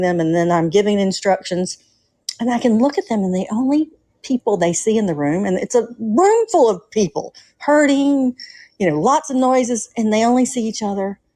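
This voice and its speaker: Over a quiet background, a woman with a strong Southern US accent talks at a fairly quick pace, her medium pitch coloured by a dark, mellow tone. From US South, Atlanta, Georgia. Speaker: nurse, caller. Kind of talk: casual call-in chat.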